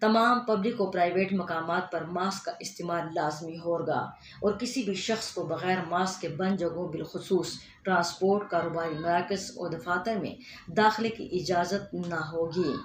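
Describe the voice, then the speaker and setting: Noticeable background noise sits behind a woman's voice. Her pitch is fairly low and her intonation fairly even. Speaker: radio news reader. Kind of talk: radio news bulletin. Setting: studio.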